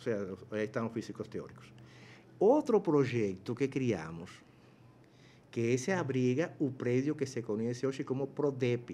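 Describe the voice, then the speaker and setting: Lively in intonation, a man speaks at a fairly slow pace with long, frequent pauses. His dark, mellow voice sits at medium pitch over light background noise. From Cuba. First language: Spanish (speaking Portuguese). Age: 60s. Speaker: professor. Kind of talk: interview. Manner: halting, many fillers. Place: studio. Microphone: studio mic.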